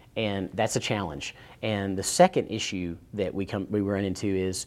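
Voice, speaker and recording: In a very clean recording with a silent background, a man with a Tennessee accent speaks at a fairly low pitch. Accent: Southern US (Tennessee). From US South, East Tennessee. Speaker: cybersecurity consultant and accountant. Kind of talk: interview.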